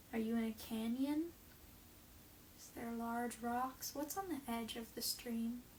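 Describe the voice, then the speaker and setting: A woman with a calm tone and high pitch speaks at a fairly slow pace, with ordinary pitch variation. Her loudness swings widely, broken by long, frequent pauses. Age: 20s. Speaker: meditation guide. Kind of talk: guided meditation. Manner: slow, calm.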